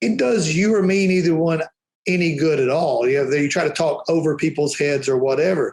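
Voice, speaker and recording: A man with a strong Alabama accent talks at a fairly quick pace in an animated tone. His pitch sits fairly high, with ordinary variation and very even loudness. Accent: Alabama Southern accent, strong. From Alabama, US South. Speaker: powder coating trainer and business owner. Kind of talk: podcast interview.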